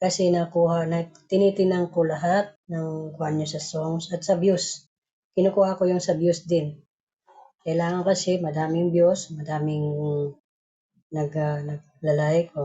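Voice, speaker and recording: A woman speaks at a fairly slow pace in a fairly low pitch. Her intonation is monotone and flat. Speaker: group admin announcing raffle winners. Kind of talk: casual live stream announcement. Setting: live stream call.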